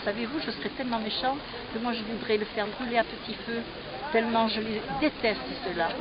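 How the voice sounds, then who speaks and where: Amid noticeable background noise, a woman with a fairly high pitch speaks at a moderate pace. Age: 80s+. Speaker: war witness. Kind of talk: testimony.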